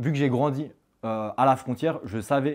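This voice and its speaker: A man at a moderate pace with ordinary pitch variation, on a very clean recording with a silent background. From France, Haute-Savoie. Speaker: cross-border worker, entrepreneur. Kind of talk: interview. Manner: halting, many fillers.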